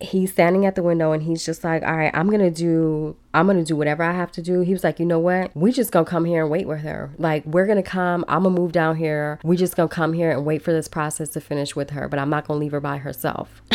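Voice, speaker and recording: An animated woman with an American accent, fairly low-pitched, talking at a very fast pace with hardly any pauses. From Chicago, US Midwest. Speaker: podcast host. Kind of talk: personal storytelling.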